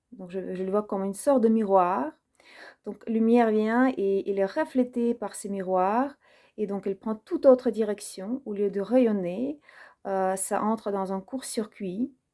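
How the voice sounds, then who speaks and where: Speaking at a fairly slow pace with a non-native accent, a woman has a fairly high pitch, a dark, mellow tone, ordinary pitch variation and big swings in loudness, on a very clean recording with a silent background. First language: not French (speaking French). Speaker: personal development video creator. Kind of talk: personal reflective monologue. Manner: hesitant, many fillers.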